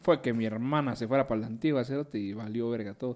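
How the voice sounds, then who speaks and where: At a fairly quick pace, a man talks in a dark, mellow tone at medium pitch with ordinary pitch variation. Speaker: podcast co-host. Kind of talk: casual chat.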